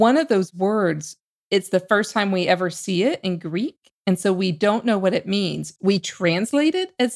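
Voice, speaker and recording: A woman with an ordinary speaking voice talks at a moderate pace and medium pitch. Her intonation is lively, and the sound is dry and close with no echo. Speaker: podcast host. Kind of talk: podcast hosting and interview.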